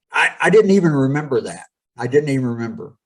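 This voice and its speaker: This man has a plain, everyday voice, talking at a fairly quick pace with ordinary pitch variation. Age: 60s. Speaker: pastor and former professional wrestler. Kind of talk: podcast interview, storytelling.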